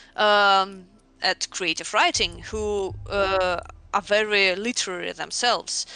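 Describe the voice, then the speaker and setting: Against a quiet background, a woman with a Russian accent talks at a fairly slow pace. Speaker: game writer. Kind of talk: casual interview chat. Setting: voice call on livestream. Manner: halting, many fillers.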